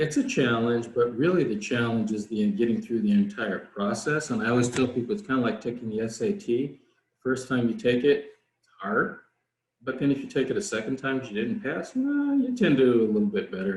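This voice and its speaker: A man's somewhat breathy voice at a medium pitch, fairly quick, with big swings in loudness and very wide pitch swings. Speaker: foreign service officer speaking to students. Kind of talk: career Q&A session. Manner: fast.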